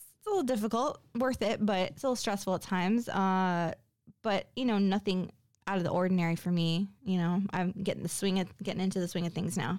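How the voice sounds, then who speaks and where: A woman with a normal speaking voice talks at a fairly quick pace, her medium pitch showing ordinary pitch variation on a very clean recording with a silent background. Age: 40s. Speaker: solo podcast host. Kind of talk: solo monologue podcast. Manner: casual with frequent fillers.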